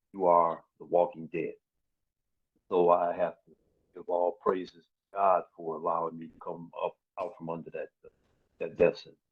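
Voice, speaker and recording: A man's voice at a moderate pace, with big swings in loudness and long, frequent pauses. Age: 60s. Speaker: formerly incarcerated man. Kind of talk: interview.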